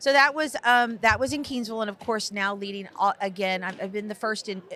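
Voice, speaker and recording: An animated woman with an American accent, bright and sharp in tone, at medium pitch with ordinary pitch variation. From Texas. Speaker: school superintendent. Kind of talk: podcast interview. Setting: conference podcast recording. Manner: fast.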